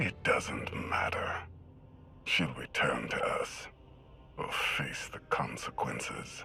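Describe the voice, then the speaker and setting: A man uses a put-on character voice at a very slow pace, with long, frequent pauses. Music plays clearly in the background. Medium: video game. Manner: measured, cold.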